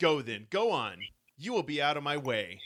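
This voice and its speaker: A man puts on a squeaky character voice at a fairly high pitch. He speaks at a moderate pace with very wide pitch swings. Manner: pouty, flippant, aggressive.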